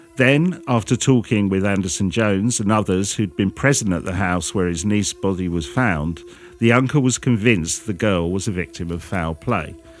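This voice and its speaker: Music plays in the background as a man speaks at a moderate pace. His fairly low voice carries lively intonation. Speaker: podcast host. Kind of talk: true-crime narration, reading out the case story. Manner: measured, storytelling.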